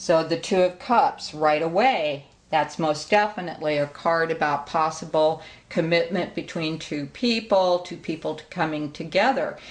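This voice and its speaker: Here is a woman with a plain, everyday voice, pitched fairly low. She speaks at a moderate pace with ordinary pitch variation. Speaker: tarot reader and psychic medium. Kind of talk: tutorial.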